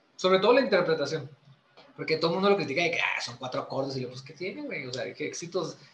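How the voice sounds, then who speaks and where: Amid noticeable background noise, a man talks very fast in a high voice, with lively intonation and big swings in loudness. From Chihuahua, northern Mexico. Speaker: musician. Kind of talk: casual chat.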